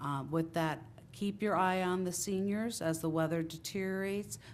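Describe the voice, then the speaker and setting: With a New Jersey accent, a woman speaks in a flat monotone at a moderate pace, with audible room echo around her. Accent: New Jersey American. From Italian-American, New Jersey. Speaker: town councilwoman. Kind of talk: council meeting remarks. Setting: council chamber with audience. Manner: loud.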